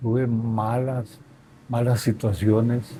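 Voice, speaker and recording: A man's voice over noticeable background noise. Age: old. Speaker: grandfather, former sportsman. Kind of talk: interview answer. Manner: hesitant, reflective.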